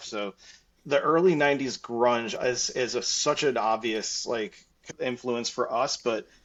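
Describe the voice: With a fairly bright tone and medium pitch, a man speaks at a fairly slow pace with ordinary pitch variation.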